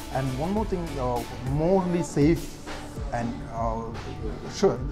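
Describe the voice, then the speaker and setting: Clear music plays behind the speech. The voice belongs to a man. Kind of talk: interview answer. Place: cafe. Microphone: lapel.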